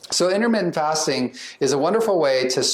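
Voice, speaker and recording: A man at a very fast pace, with ordinary pitch variation and noticeable background noise. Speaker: psychiatrist. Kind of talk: lecture.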